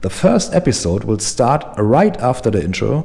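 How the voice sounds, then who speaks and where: Spoken at a moderate pace with a German accent, this dark, mellow voice swings very widely in pitch and drifts into vocal fry. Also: man. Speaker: motorcycle travel vlogger. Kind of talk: vlog intro monologue. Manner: animated.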